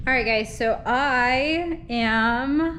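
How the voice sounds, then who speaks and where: The room's echo is audible. The speaker is a woman. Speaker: vlogger. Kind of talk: personal vlog. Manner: quiet; casual with fillers.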